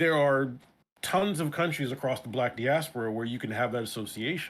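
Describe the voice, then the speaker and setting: At a fairly quick pace, a man speaks at a medium pitch with ordinary pitch variation. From US, New York (Brooklyn). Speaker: interview guest, streamer. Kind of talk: casual interview chat. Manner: halting, repeats words.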